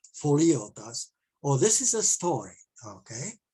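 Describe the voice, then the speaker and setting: This man's voice sounds somewhat breathy. His delivery is very slow. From Czech Republic, eastern Bohemia. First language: Czech. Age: 70s. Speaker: amateur mycologist presenter. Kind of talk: presentation. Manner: halting, many fillers.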